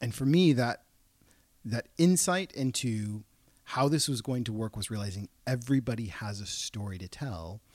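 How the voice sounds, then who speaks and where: A man with an American accent talks in a normal speaking voice at a medium pitch and moderate pace with lively intonation, in a very clean recording with a silent background and a dry, close sound with no echo. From Portland, Oregon. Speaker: entrepreneur and children's book publisher. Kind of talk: casual interview.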